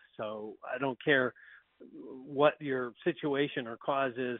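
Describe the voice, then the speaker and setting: A man with an American accent uses an ordinary speaking voice. His intonation is fairly even. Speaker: county sheriff. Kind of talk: radio interview.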